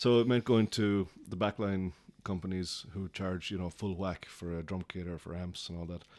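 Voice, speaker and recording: On a very clean recording with a silent background, a man with a Cork accent and a very deep, low pitch talks at a moderate pace with fairly even intonation. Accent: Cork Irish. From Ireland, Cork. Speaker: music promoter. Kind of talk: casual interview.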